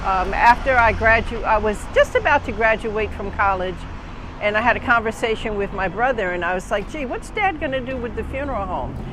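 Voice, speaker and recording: Speaking at a fairly quick pace with an American accent, a woman with a fairly high pitch and ordinary pitch variation is heard over noticeable background noise. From New Jersey, Newark area. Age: 70s. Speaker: funeral director. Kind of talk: interview testimony.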